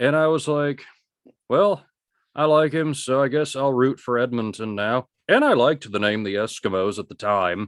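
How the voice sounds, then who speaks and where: With lively intonation, a man in an ordinary speaking voice talks at a moderate pace. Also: medium pitch for a man. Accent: American. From United States. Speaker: sports podcast host. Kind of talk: casual chat.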